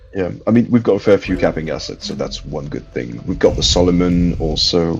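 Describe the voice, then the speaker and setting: Music sounds behind a man who talks at a fairly quick pace. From France. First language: French. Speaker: gamer in voice chat. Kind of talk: casual chat.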